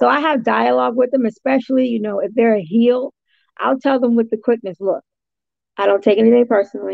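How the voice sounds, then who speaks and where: Speaking at a fairly quick pace, a woman with a fairly high pitch and ordinary pitch variation has a plain, everyday voice. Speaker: ring announcer and interviewer. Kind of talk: interview answer. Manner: casual, conversational.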